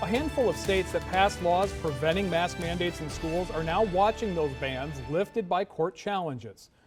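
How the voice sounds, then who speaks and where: Music in the background behind a moderate pace with hardly any pauses and ordinary pitch variation. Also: man, high pitch for a man. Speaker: TV news anchor. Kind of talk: television newscast anchor read.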